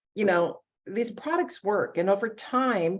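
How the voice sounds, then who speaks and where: With an unremarkable speaking voice, a woman talks at a fairly slow pace with lively intonation against a quiet background. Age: 60s. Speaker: beauty products consultant. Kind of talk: casual interview.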